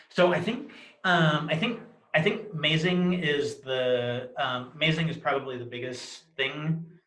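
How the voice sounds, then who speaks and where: Fairly high in pitch, a man talks at a fairly slow pace with lively intonation. Audible room echo surrounds his voice. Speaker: person who clutters. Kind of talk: interview testimony. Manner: many filler words, self-interrupting.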